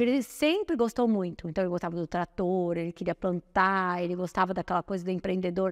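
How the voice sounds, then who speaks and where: A woman with a plain, everyday voice speaks at medium pitch and a moderate pace with ordinary pitch variation, dry and close with no echo in a very clean recording with a silent background. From Brazil, São Paulo. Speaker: nutritionist. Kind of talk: interview.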